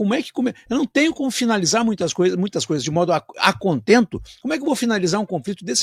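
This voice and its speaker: In a very clean recording with a silent background and a dry, close sound with no echo, a man talks in an animated tone with lively intonation. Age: 60s. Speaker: radio host. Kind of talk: radio interview. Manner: halting.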